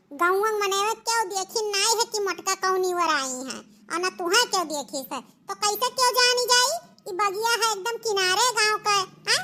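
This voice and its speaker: A female-sounding cartoonish character voice is heard. Its pitch is extremely high. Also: moderate pace. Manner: bossy, boastful.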